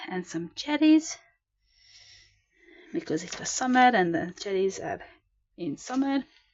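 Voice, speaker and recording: Speaking with a non-native accent, a woman with a high pitch moves at a fairly slow pace, leaving long, frequent pauses, with very wide pitch swings and big swings in loudness. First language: not English. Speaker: sketchbook artist, video creator. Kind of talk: casual show-and-tell narration. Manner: hesitant, with fillers and repetitions.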